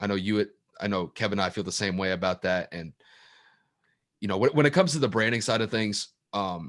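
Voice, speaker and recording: A man mumbles at a moderate pace, his pitch fairly low with ordinary variation. The sound is dry and close with no echo, over a quiet background. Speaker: podcast co-host. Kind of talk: casual chat. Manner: mumbling.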